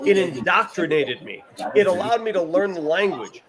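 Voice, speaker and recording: Fairly quick, animated speech with lively intonation over noticeable background noise. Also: man. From US, Italian-American family. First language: Italian. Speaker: sports show host. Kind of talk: casual chat. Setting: bar with live crowd.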